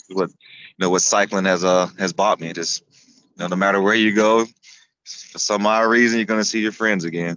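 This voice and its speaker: An ordinary speaking voice with an American accent moves at a moderate pace, keeping a fairly even intonation despite big swings in loudness. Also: man, fairly low pitch for a man. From US South, Florida (Tampa area). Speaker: amputee cyclist and racer. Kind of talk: casual interview chat.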